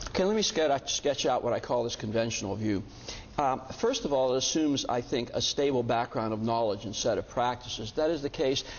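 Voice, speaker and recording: Noticeable background noise runs under a man's medium-pitched voice. He talks very fast with ordinary pitch variation. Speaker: bioethics professor. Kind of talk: lecture. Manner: halting with many fillers.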